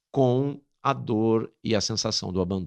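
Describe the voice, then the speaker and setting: The recording is very clean, with a silent background. The pitch swings are very wide. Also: man. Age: 60s. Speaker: priest and lecturer. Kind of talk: interview testimony.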